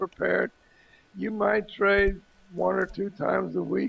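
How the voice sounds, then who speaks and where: A man's fairly slow speech over noticeable background noise. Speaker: trading educator. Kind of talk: casual chat. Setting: video chat. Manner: halting.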